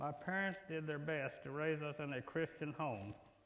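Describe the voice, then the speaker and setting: At a fairly slow pace, a man with a fairly high voice speaks amid audible room echo. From Oklahoma, US. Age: 70s. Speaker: church member giving testimony. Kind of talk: testimony. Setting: church worship service. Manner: reading from prepared text.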